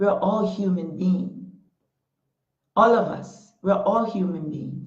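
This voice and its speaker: With a Panamanian accent, a woman speaks at a medium pitch with ordinary pitch variation, and audible room echo surrounds her voice. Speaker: talk show host. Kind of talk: motivational talk. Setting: Facebook Live stream. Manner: impassioned.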